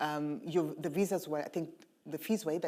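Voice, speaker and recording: With a very deep, low pitch and a dark, mellow tone, a woman talks at a fairly quick pace using ordinary pitch variation. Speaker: lawyer and tech policy founder. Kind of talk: panel discussion.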